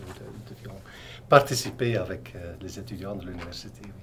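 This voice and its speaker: Audible room echo colors the recording. A man speaks at a moderate pace, with ordinary pitch variation. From Belgium. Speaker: priest. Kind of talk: TV interview.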